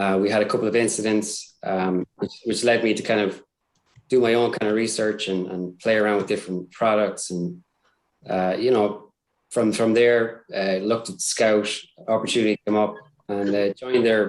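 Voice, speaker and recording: Flat, monotone intonation marks this man's fairly low voice with an Irish accent. He keeps a moderate pace. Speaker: cybersecurity support staff. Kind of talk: casual interview. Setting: live stream. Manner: hesitant, many fillers.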